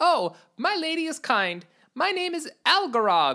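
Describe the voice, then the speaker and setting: Squeaky, put-on character voice at a fairly slow pace, on a very clean recording with a silent background. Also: woman. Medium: read story. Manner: deferential, formal.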